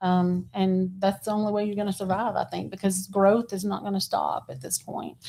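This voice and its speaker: Speaking at a moderate pace with hardly any pauses, a woman with an American accent has a medium-pitched, dark, mellow voice and monotone, flat intonation. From Texas. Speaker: realtor. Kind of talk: casual interview chat.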